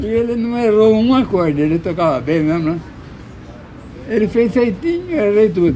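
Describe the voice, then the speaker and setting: Against noticeable background noise, the voice moves at a moderate pace with very wide pitch swings and long, frequent pauses. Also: man, high pitch for a man. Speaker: choro musician. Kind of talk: interview answer. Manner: casual storytelling.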